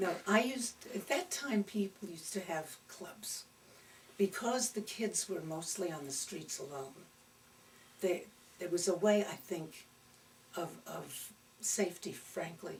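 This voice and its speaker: A woman with a New York accent and medium pitch, lively intonation, a fairly slow pace, big swings in loudness and long, frequent pauses. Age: 80s+. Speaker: retired actress. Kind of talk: oral history interview.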